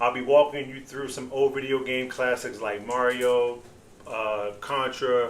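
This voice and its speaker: This man speaks at a moderate pace and medium pitch, with audible echo from the room. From Baltimore, Maryland (East Baltimore). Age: 40s. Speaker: podcast host. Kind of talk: casual podcast monologue.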